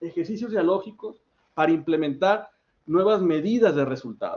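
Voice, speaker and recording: A man with a high pitch speaks with a Mexican accent. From Mexico. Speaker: academic speaker, political scientist. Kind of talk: academic workshop talk. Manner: fast; halting, self-correcting.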